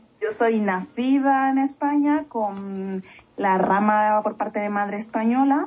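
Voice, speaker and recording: Amid noticeable background noise, a woman speaks fairly slowly at a medium pitch with lively intonation. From Spain. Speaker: podcast co-host. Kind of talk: casual chat.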